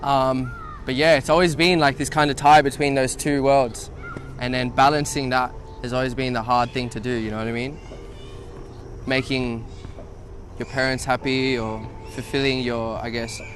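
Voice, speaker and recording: Noticeable background noise surrounds a man with an Australian accent. He speaks at a moderate pace and medium pitch, with long, frequent pauses. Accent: own Australian accent, raps in it. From South-West Sydney, Liverpool, Pakistani family. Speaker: rapper. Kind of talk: casual interview. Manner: casual, filler-heavy.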